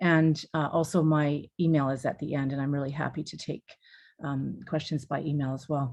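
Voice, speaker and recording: A woman with a Canadian accent, very deep and low in pitch, monotone and flat, at a fairly quick pace. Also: quiet background. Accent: Canadian, noticeable to New Zealanders. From Canada. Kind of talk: webinar presentation.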